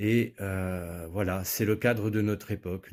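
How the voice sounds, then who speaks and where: A man's fairly low voice on a very clean recording with a silent background. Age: 40s. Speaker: political candidate. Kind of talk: political speech. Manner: hesitant with frequent fillers.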